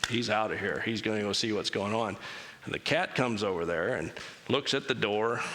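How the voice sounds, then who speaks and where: Talking at a fairly quick pace, a man has a plain, everyday voice, fairly low in pitch with ordinary pitch variation. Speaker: church speaker. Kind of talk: church talk with Q&A. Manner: casual, conversational.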